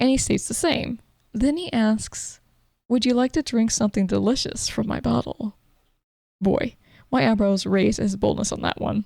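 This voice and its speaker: A woman's dark, mellow tone at a fairly high pitch, with lively intonation. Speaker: gaming podcast host. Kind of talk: game review narration. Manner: casual, joking.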